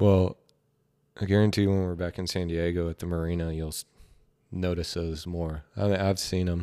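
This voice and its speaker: A man with a Southern US accent talks at a moderate pace in a very deep, low, monotone voice with flat intonation, leaving long, frequent pauses on a very clean recording with a silent background. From Georgia and Tennessee. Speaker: professional baseball player. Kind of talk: casual chat.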